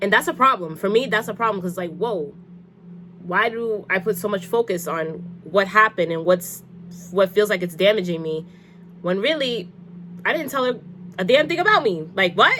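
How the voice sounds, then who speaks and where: A woman speaks with ordinary pitch variation. She leaves long, frequent pauses. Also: medium pitch for a woman. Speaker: lifestyle vlogger giving advice. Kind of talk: casual advice monologue. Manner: fast; halting.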